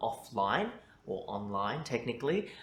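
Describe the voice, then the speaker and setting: A man with an Australian accent, plus audible room echo. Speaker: journalist. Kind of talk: mock speaking test interview.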